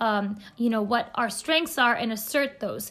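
A woman with an American accent talks at a fairly quick pace in a high pitch, her tone bright and sharp and her intonation fairly even, on a very clean recording with a silent background. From US, California Bay Area. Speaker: podcast host, self-growth coach. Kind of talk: solo podcast monologue.

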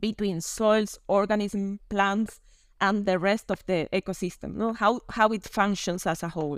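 In a very clean recording with a silent background and a dry, close sound with no echo, a woman speaks at medium pitch and a moderate pace with a Spanish accent. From Spain, Canary Islands. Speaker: land and water officer at an international organization. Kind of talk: interview.

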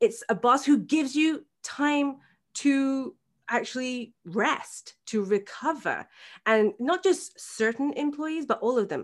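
In a very clean recording with a silent background, a woman with an English accent talks at a very slow pace, her high voice rising and falling in lively intonation. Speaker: birth coach and hypnobirthing practitioner. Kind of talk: interview. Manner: halting, many repetitions and fillers; talkative.

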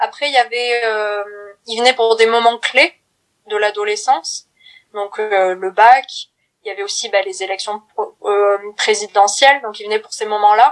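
A woman with a fairly high pitch speaks at a fairly slow pace with long, frequent pauses, fairly even intonation and big swings in loudness. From France, Corrèze (Brive-la-Gaillarde). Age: 20s. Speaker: documentary film actress and film student. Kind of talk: interview. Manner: halting.

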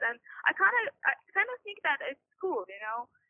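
A woman with a Persian accent speaks at a fairly quick pace. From Iran. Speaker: graduate student. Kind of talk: interview. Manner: halting, many fillers.

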